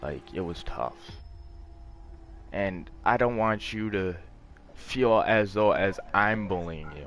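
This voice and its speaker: A man's fairly low voice at a very slow pace, with ordinary pitch variation, long, frequent pauses, big swings in loudness and music in the background. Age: 20s. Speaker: gamer streamer. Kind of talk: casual chat. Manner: calm.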